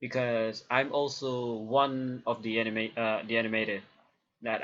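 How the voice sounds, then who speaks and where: A man with a medium pitch and monotone, flat intonation, against a quiet background. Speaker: YouTuber, hobby animator. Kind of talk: casual vlog monologue. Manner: halting, many fillers.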